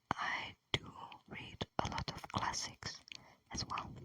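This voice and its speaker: Very slow whispering with a gentle tone sits over noticeable background noise. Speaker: ASMR creator. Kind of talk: ASMR whispering and rambling. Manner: whispered, gentle.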